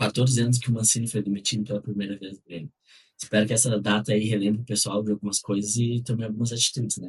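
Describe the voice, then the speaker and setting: At a medium pitch, a man speaks somewhat breathily with fairly even intonation. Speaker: football podcast co-host. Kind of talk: casual chat.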